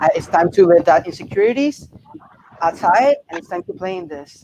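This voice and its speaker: A man speaks with a Spanish accent at a high pitch. His pace is fairly quick, and background noise is noticeable. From Puerto Rico. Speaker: reality game contestant. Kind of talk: interview.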